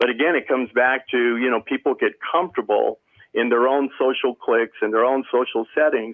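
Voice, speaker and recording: A man with a normal speaking voice talks fairly quickly at a medium pitch, with fairly even intonation and very even loudness. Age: 60s. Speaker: service club member. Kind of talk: panel discussion.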